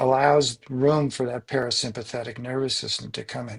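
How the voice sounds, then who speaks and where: A man's somewhat breathy voice at medium pitch, moderate in pace, with fairly even intonation. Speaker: coach. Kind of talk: interview. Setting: podcast.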